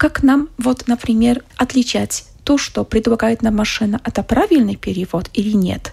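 With a fairly high pitch, ordinary pitch variation, a slightly husky edge and some vocal fry, a woman is speaking. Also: moderate pace.

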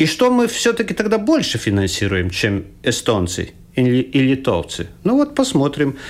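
The speech moves at a moderate pace. Its loudness stays very even. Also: man. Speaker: economist, former finance minister. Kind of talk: radio panel discussion. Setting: radio studio. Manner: halting.

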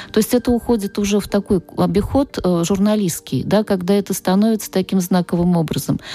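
A woman with a dark, mellow tone talks at a medium pitch with ordinary variation. Her fairly quick delivery has hardly any pauses, and the sound is dry and close with no echo. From Russia, Nizhny Novgorod. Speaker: literature professor. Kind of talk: radio interview. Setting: studio.

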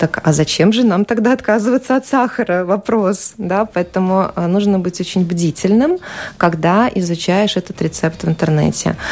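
A woman's medium-pitched, a plain, everyday voice at a fairly slow pace with ordinary pitch variation. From Ukraine, Ukrainian-Russian family. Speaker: journalist and amateur cook. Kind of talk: radio interview. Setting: radio studio.

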